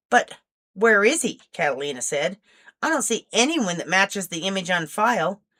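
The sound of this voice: An unforced reading voice with lively intonation comes through against a quiet background.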